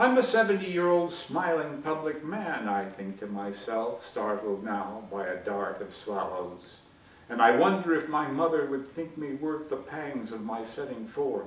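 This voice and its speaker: Amid noticeable background noise and audible room echo, a man talks fairly slowly in a fairly high pitch, his voice making very wide pitch swings. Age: 70s. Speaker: poet. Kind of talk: poetry reading.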